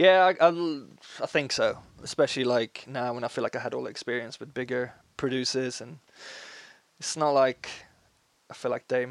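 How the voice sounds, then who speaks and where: A man at a medium pitch with a Swedish accent, ordinary pitch variation, a moderate pace, long, frequent pauses and big swings in loudness, in a dry, close sound with no echo. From Sweden, small town. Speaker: musician. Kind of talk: casual interview chat.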